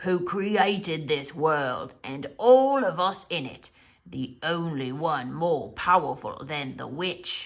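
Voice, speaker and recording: Middle pitch and a fairly slow pace in a put-on character voice. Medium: read story.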